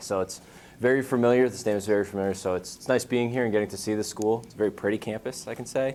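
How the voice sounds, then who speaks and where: A man in a New England accent, fairly low in pitch, with fairly even intonation and a very fast pace. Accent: New England American. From Western Massachusetts. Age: 20s. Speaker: brain injury prevention program manager. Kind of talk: talk to students. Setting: school audience.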